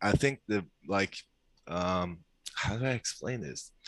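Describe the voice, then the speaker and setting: In a dry, close sound with no echo, a man speaks very slowly at a fairly low pitch. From Norway. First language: Norwegian. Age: 20s. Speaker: caller seeking dating advice. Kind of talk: casual chat.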